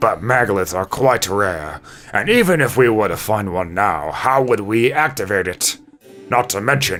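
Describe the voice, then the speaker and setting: A man puts on a character voice with a fairly low pitch. His intonation is lively, and his pace is moderate. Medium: game stream.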